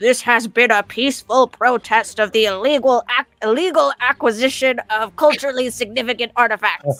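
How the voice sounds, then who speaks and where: A female-sounding, put-on robotic character voice speaks at a moderate pace with high pitch and hardly any pauses. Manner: flat, repetitive.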